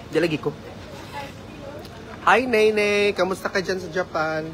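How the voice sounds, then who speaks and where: Noticeable background noise behind a man speaking at a high pitch for a man. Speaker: vlogger. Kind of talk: casual vlog chat. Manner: loud.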